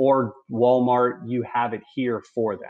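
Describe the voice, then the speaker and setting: This man has an American accent. Behind him, the background stays quiet. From US South. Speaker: career and technical education executive; webinar presenter. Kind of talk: webinar presentation. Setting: video call. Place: home room. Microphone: video call.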